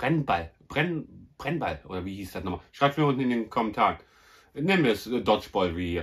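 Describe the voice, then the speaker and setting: Lively intonation marks this man's voice. He talks at a moderate pace. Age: 40s. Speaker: YouTuber, film collector; YouTuber. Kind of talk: casual vlog presentation. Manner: animated. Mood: happy, enthusiastic about finds. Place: home room. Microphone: phone near.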